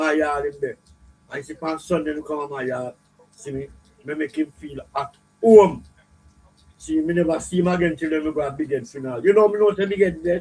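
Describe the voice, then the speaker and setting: Talking at a fairly quick pace, a man with a Jamaican accent has a fairly high pitch and ordinary pitch variation. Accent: Jamaican patois. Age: old. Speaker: dancehall videoman. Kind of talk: interview storytelling. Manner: halting.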